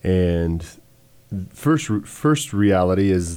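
On a very clean recording with a silent background, a man speaks in a very deep, low voice with a dark, mellow tone and fairly even intonation. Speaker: podcast host. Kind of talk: casual religious discussion. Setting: live stream. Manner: playful, laughs often.

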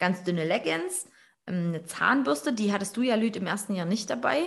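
A woman speaks in an ordinary speaking voice. Her pitch sits in the medium range, with ordinary variation. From Erzgebirge, Saxony. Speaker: podcast host. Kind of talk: casual chat. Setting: online call.

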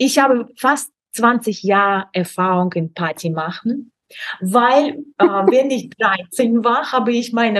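A woman speaks very slowly in a Russian accent. Her fairly high voice swings very widely in pitch. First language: Russian (speaking German). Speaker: Instagram expert and online course creator. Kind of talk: casual interview chat. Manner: halting, many fillers.

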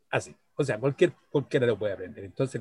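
This man's voice sits fairly high. It carries a somewhat breathy quality. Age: 60s. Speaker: psychologist and chess teacher. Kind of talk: casual interview.

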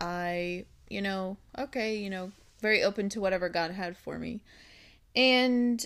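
On a very clean recording with a silent background, a woman with a normal speaking voice talks at a medium pitch with fairly even intonation. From Minnesota. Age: 30s. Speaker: co-host, host's wife. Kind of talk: casual chat. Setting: studio.

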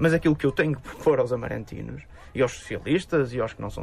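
Over noticeable background noise, a man rattles off his words very fast. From northern Portugal, Amarante. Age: 30s. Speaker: politician. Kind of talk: radio interview.

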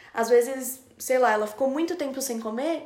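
Moderate-paced speech from a woman, high in pitch with ordinary pitch movement. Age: 20s. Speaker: podcast producer. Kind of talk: casual chat.

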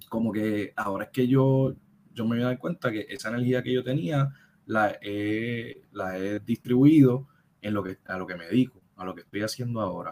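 A man speaks at a medium pitch with a Puerto Rican accent. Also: ordinary pitch variation, moderate pace, big swings in loudness. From Puerto Rico, Caguas. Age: 30s. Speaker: film project founder and TV worker. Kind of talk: casual interview. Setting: live-streamed podcast.

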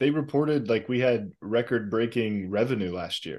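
Here a man has an unremarkable speaking voice at a medium pitch. He talks at a fairly quick pace with lively intonation. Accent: American. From USA. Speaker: football podcast co-host. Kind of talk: casual chat.

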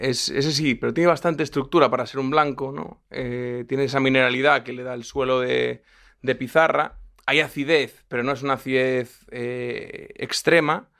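A man speaks at medium pitch and a moderate pace with fairly even intonation. His tone is bright and sharp, with big swings in loudness. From Galicia, Spain (Lugo). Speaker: podcast host. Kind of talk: interview; wine tasting commentary. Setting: studio.

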